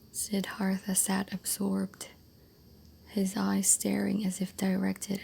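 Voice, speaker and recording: Soft-spoken and gentle in tone, the voice moves at a fairly slow pace. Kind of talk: soft-spoken ASMR book reading for sleep. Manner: soft-spoken, gentle.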